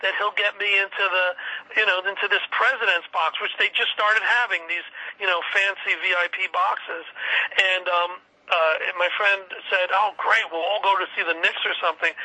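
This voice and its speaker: A man's high-pitched, monotone voice with flat intonation, at a moderate pace over noticeable background noise. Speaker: Beatles fan and tour organizer. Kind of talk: casual chat.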